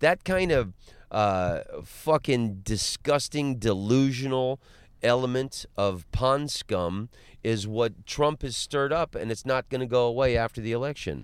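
In a very clean recording with a silent background, a man with an American accent and an unremarkable speaking voice talks at a fairly slow pace and medium pitch. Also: ordinary pitch variation. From Florida, Orlando. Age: 40s. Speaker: comedian. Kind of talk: casual chat. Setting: in a car.

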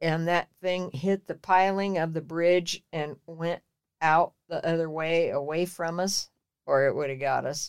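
A woman's fairly low voice, an unremarkable speaking voice, at a fairly slow pace with fairly even intonation, in a dry, close sound with no echo. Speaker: storyteller, family elder. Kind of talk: casual chat.

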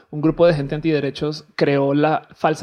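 A woman speaks at a very deep, low pitch in a dark, mellow tone. Her intonation is monotone and flat. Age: 30s. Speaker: comedy podcast guest. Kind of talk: casual chat.

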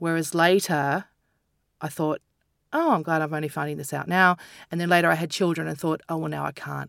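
With an Australian accent, a woman speaks at a very deep, low pitch and a fairly quick pace, in a monotone, flat intonation with long, frequent pauses, on a very clean recording with a silent background. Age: 40s. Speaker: comedian and author. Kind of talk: casual chat.

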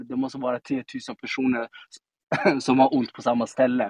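This man's voice sits at a medium pitch. He talks in a flat monotone. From Sweden, Stockholm (Tensta). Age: 30s. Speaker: politician. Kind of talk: casual interview. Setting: live audio room (Clubhouse).

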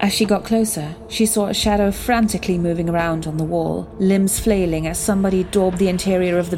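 A woman talks at a fairly quick pace, at medium pitch with ordinary pitch variation. Noticeable background noise runs under her voice. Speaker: storyteller. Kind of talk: horror story narration, period tale read aloud in dramatic storytelling style.

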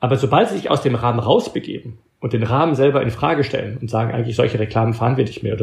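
Breathing somewhat audibly, a man talks very fast at a medium pitch with ordinary pitch variation. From Belgium. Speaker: author and organizational thinker. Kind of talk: interview. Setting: long-distance remote call. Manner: halting, occasional stumbles.

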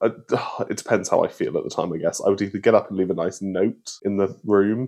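With a British accent, a man speaks in a fairly low pitch. His intonation is monotone and flat. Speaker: podcast co-host. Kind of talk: casual chat.

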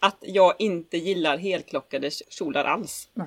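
In a dry, close sound with no echo, a woman talks at a medium pitch. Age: 30s. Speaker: podcast co-host, pinup model. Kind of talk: casual chat.

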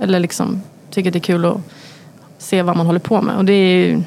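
Against noticeable background noise, a woman speaks very fast at a medium pitch with monotone, flat intonation. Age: 30s. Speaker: chef. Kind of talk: casual chat.

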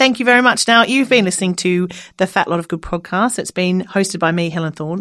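A woman speaks in an Australian accent at a fairly quick pace. The recording is very clean, with a silent background. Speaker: comedian and podcast host. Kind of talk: casual chat, comedic interview. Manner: joking, irreverent, animated.

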